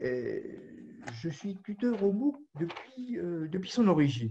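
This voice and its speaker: A man speaks at a very slow pace, somewhat breathy, with a dark, mellow tone. His intonation is lively against a quiet background. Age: 70s. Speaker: caregiver and volunteer tutor. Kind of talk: webinar talk. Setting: audio-only video conference.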